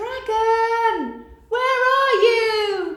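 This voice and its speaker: Using a squeaky, put-on character voice, a woman speaks at an extremely high pitch. A clear echo surrounds her. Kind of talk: bedtime story. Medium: read story. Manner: shouting, eager.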